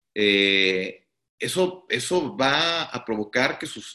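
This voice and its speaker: A man's bright, sharp voice at medium pitch, with very wide pitch swings and a quiet background. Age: 30s. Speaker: startup CEO. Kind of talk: interview.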